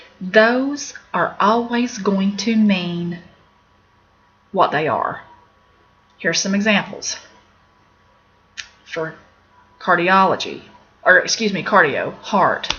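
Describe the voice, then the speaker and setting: Very slow, with long, frequent pauses, a woman speaks at a medium pitch with ordinary pitch variation. Noticeable background noise runs underneath. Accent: Appalachian. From Appalachia, US. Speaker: medical terminology teacher. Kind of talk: video lesson. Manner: casual, with fillers.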